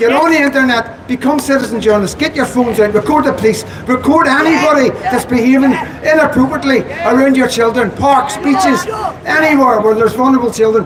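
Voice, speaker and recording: With a Belfast accent and an extremely high pitch, a man speaks at a very fast pace with ordinary pitch variation, amid crowd noise and audible room echo. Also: very even loudness. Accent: Belfast Northern Irish. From Northern Ireland, Belfast. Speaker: activist speaker. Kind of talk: rally speech. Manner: emphatic.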